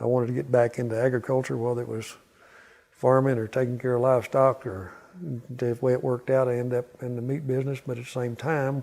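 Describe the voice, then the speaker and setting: Flat and monotone, a man with a Southern US accent speaks very fast at a medium pitch in a dark, mellow tone. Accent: Southern US (Oklahoma). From southeastern Oklahoma, USA. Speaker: Vietnam War veteran, beef industry manager. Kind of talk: interview answer.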